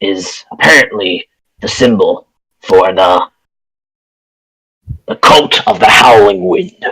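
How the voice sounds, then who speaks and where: Putting on a character voice, a man speaks raspy and at a medium pitch, at a fairly slow pace with long, frequent pauses. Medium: actual play. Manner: earnest, matter-of-fact.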